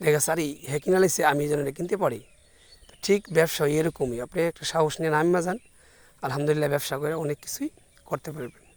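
A man with a plain, everyday voice speaks at a fairly high pitch with ordinary pitch variation, in a dry, close sound with no echo. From Bangladesh, Brahmanbaria (Kasba). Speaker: small business owner, vlogger. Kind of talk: casual vlog monologue.

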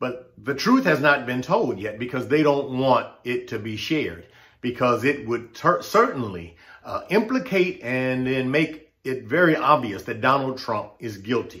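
In an American accent, the speaker reads with lively intonation. Delivery is fairly slow. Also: man, medium pitch for a man. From United States. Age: 60s. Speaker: political commentator vlogger. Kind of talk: opinion monologue. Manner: impassioned. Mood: earnest, frustrated. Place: home room. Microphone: webcam.

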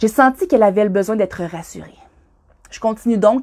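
This woman speaks with a Quebec accent at a fairly quick pace. Her pitch is medium with ordinary variation, and the background is quiet. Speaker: skydiving instructor. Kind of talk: reading aloud. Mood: warm, encouraging. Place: home room. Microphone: phone near.

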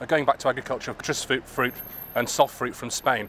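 A man at a fairly quick pace, with dry sound with no echo and light background noise. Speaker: political party official interviewing colleagues. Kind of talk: political interview. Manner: halting, many fillers. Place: street. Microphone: handheld.

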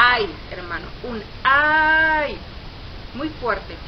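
Noticeable background noise behind a woman's voice. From Mexico. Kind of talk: religious testimony. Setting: self-recorded video. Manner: stuttering. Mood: earnest, fervent. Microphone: phone near.

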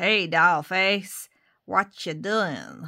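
A put-on character voice, female-sounding and raspy, sits fairly low in pitch for a woman on a very clean recording with a silent background. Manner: put-on, exaggerated.

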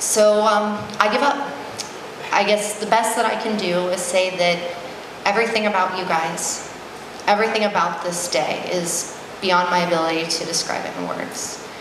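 The intonation stays fairly even. Noticeable background noise and audible room echo fill the recording. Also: woman, medium pitch for a woman, moderate pace. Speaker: maid of honor. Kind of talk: wedding reception toast, personal and sentimental. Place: hall. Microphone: handheld.

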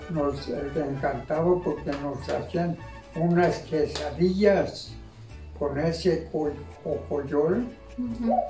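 Over clear music in the background, a man talks at a very slow pace. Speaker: retired farmer. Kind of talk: oral history interview answer. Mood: nostalgic, warm. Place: home room.

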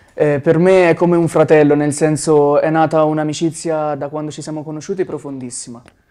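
With hardly any pauses, a man speaks fairly quickly in a monotone, flat intonation over a quiet background. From Tuscany, Arezzo province (Sansepolcro). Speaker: musician, band member. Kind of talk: interview. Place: studio. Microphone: lapel.

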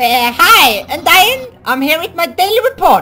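Putting on a character voice, a woman speaks at an extremely high pitch with big swings and a bright, sharp tone.

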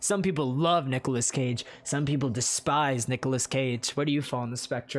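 The intonation is fairly even. The clip is reading aloud in a natural voice.

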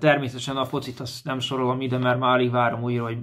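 A man's monotone voice with flat intonation over a quiet background. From Hungary, Komló, Baranya county; Hungary. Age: 30s. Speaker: amateur footballer reporting from abroad. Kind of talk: casual video report. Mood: calm, a little wistful. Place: home room. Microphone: phone near.

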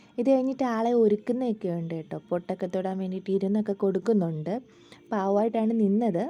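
A woman's medium-pitched voice, dark and mellow in tone, with ordinary pitch variation. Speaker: travel vlogger. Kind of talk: vlog narration.

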